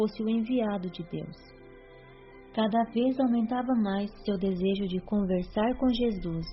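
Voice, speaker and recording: Music plays in the background while a woman speaks at a fairly slow pace. Her pitch is fairly high, with ordinary pitch variation. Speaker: audiobook narrator. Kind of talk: religious audiobook narration.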